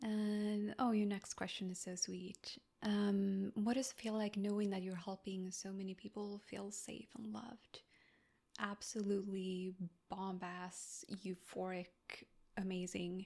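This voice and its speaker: A woman with a non-native accent speaks fairly slowly in a medium pitch, her tone dark and mellow and her intonation monotone and flat. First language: not English. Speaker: ASMR creator. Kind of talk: Q&A chat. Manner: soft-spoken.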